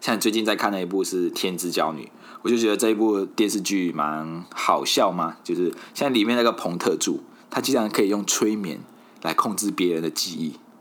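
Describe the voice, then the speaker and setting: Here a man talks at a moderate pace. His pitch sits fairly low, with ordinary variation. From Malaysia. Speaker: podcast host. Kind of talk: casual solo podcast monologue.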